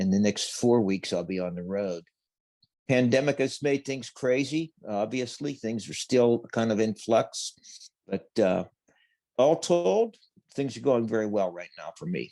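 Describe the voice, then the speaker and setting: Against a quiet background, a man with a dark, mellow tone and medium pitch talks at a moderate pace. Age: 60s. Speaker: safety speaker, retired steamfitter. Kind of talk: interview. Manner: hesitant, with fillers.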